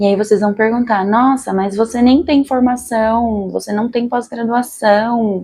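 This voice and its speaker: A woman speaks in a dark, mellow tone. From Brazil, São Paulo city. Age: 30s. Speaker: general practitioner doctor. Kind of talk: self-introduction video monologue. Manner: casual, conversational.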